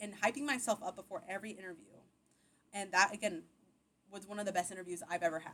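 A woman with an American accent talks at a very fast pace in a bright, sharp tone, with big swings in loudness and long, frequent pauses. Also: medium pitch for a woman. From Texas, Austin area. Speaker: tech professional. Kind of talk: interview.

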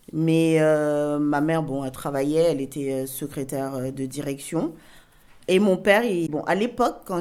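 At a fairly slow pace, an unremarkable speaking voice moves with ordinary pitch variation. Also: woman. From Cameroon, moved to France at 8. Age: 40s. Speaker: interviewee telling her life story. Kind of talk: personal testimony interview.

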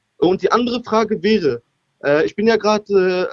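With a dry, close sound and no echo, a man speaks at a high pitch with ordinary pitch variation. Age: 20s. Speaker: caller. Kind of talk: call-in conversation. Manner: halting.

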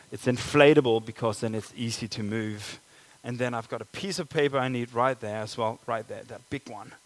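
A man with a Danish accent talks at a fairly quick pace. His pitch is medium, with ordinary variation. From Denmark. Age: 30s. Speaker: pastor. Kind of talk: sermon. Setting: church.

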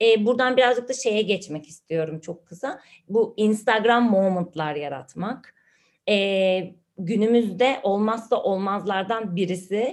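Speaking at a very slow pace, a woman has a medium pitch and ordinary pitch variation. The background is quiet. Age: 30s. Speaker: podcast co-host, digital marketer. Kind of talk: casual chat.

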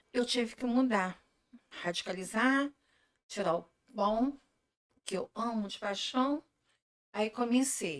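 Speech comes at a very slow pace with ordinary pitch variation and long, frequent pauses. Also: woman, fairly high pitch for a woman. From Brazil, Macaé (Rio de Janeiro state). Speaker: gluten-free food entrepreneur. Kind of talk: casual interview chat. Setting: live video stream.

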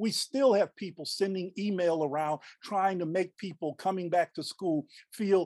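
Over a quiet background, a man with an American accent and a high voice speaks fairly slowly, with ordinary pitch variation and a dry, close sound with no echo. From southeast Texas, Beaumont. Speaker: history professor. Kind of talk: interview. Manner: halting, many fillers and repeats.

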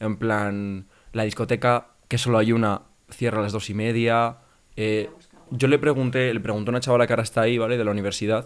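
The delivery moves at a fairly quick pace. Its intonation is monotone and flat. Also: man, medium pitch for a man. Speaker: podcast co-host, university student. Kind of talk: casual chat. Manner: fast.

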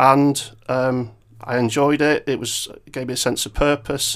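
In a very clean recording with a silent background, a man speaks at a fairly high pitch with monotone, flat intonation. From Cheshire, northern England (Macclesfield). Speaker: chief executive of a trade association. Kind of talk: interview. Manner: hesitant, many fillers.

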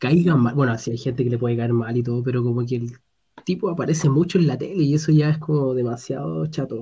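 Speaking at a very fast pace, a man with a Chilean accent has a medium pitch, a dark, mellow, somewhat breathy tone, and ordinary pitch variation. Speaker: podcast co-host. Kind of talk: casual chat.

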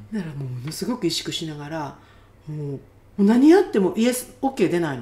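A somewhat breathy woman at a fairly low pitch, fairly quick in pace, with very wide pitch swings and big swings in loudness. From Japan. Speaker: healer. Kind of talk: casual interview. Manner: animated.

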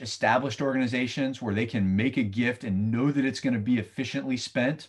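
A man with an American accent has an unremarkable speaking voice at a medium pitch, with ordinary pitch variation. He speaks at a moderate pace against a quiet background. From US Southeast. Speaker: financial firm representative. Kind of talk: interview. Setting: remote recording.

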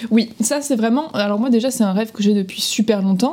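A woman with a fairly high pitch and ordinary pitch variation talks over noticeable background noise. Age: 20s. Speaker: podcast co-host. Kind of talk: casual chat.

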